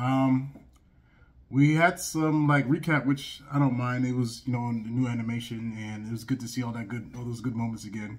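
The speech moves at a fairly quick pace with ordinary pitch variation over a quiet background. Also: man. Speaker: anime reaction reviewer. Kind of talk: casual commentary. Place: home room.

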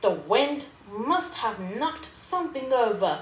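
This woman puts on a character voice with a high pitch. She talks at a fairly slow pace. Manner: trembling, unconvinced.

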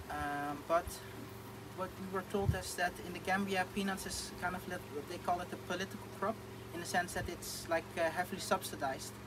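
Speaking at a fairly quick pace with a Dutch accent, a man keeps his high pitch in a monotone, flat intonation. Noticeable background noise runs under him. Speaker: agricultural entrepreneur planning projects in The Gambia. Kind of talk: casual interview chat. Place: open country. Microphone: phone near.

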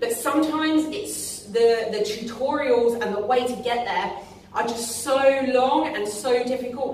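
A woman's high-pitched voice with ordinary pitch variation, light background noise and audible room echo. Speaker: fitness coach. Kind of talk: tutorial. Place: gym. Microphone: camera far.

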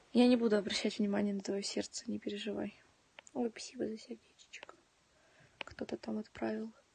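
A woman talks at a moderate pace with long, frequent pauses, and the sound is dry with no echo. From Donetsk, eastern Ukraine. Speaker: livestreamer. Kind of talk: casual chat. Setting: home livestream. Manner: animated. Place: home room. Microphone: phone near.

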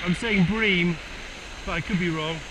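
This man has a high voice with ordinary pitch variation. He talks at a fairly slow pace over clear background noise.

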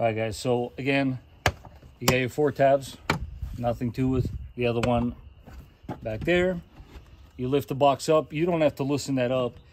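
Against noticeable background noise, a man talks at a moderate pace with fairly even intonation and long, frequent pauses. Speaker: DIY car maintenance host. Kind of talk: tutorial. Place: street. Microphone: phone near.

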